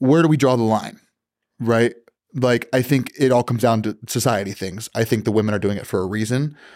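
With an ordinary speaking voice at medium pitch, a man talks at a fairly quick pace with ordinary pitch variation in a very clean recording with a silent background. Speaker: podcast guest. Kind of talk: casual chat. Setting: studio.

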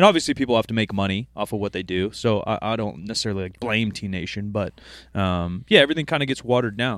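A man's medium-pitched voice shows ordinary pitch variation. The recording is very clean, and the background is silent. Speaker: podcast co-host. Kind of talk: casual chat. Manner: animated, profane.

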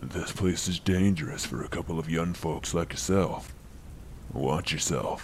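A man puts on a character voice with a very deep, low pitch. He speaks at a moderate pace against clear background noise. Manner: creepy, menacing.

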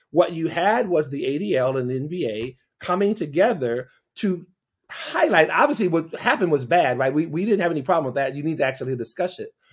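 A man speaks very fast with lively intonation. His pitch is fairly high. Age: 50s. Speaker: pastor and advocacy organization founder. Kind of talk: interview.

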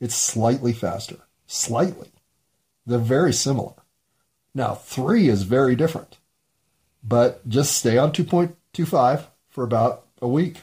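A man with an American accent speaks at a medium pitch, somewhat breathy, in a dark, mellow tone. His pace is fairly slow with long, frequent pauses, and his pitch varies in an ordinary way. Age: 50s. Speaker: solo podcaster. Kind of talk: solo monologue. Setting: home bedroom recording.

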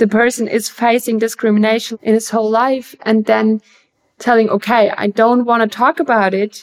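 This is a woman speaking. She has a German accent. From Germany, Bavaria. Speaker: actress and filmmaker. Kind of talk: interview. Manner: halting.

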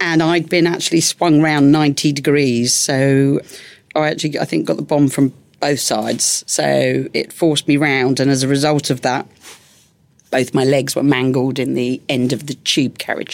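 A woman with a Cockney accent, very deep and low in pitch, at a moderate pace with fairly even intonation. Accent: London Cockney. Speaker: Paralympic athlete and bombing survivor. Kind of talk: interview testimony.

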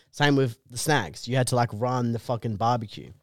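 A man with an Australian accent talks very fast at a medium pitch, on a very clean recording with a silent background. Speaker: comedian. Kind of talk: casual chat.

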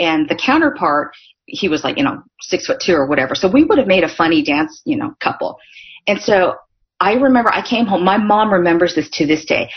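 In a General American accent, a woman speaks fairly quickly at medium pitch, her voice somewhat breathy. Her pitch swings very widely. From US, Northern California. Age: 40s. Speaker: author and speaker. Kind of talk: casual interview. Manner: animated.

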